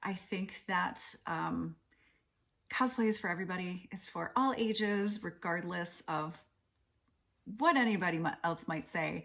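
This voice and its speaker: A woman speaks at a medium pitch with ordinary pitch variation and some vocal fry. Her pace is fairly slow, with long, frequent pauses. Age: 40s. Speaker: cosplayer. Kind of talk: short testimonial clip.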